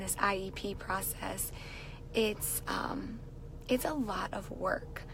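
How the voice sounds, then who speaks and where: A woman speaks at a medium pitch and a very slow pace. Noticeable background noise and audible room echo are present. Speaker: teacher and live-stream vlogger. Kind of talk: casual live stream chat. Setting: in a car.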